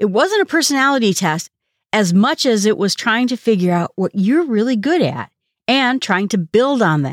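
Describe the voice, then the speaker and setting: The recording is very clean, with a silent background. An ordinary speaking voice moves at a moderate pace. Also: woman. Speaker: podcast host. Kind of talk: solo podcast monologue about a book. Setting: solo podcast episode.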